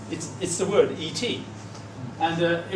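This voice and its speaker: A man with a high-pitched voice speaks over noticeable background noise, with audible echo in the room. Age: 70s. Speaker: conference speaker on medals. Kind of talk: presentation with slides. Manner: halting, repeats words.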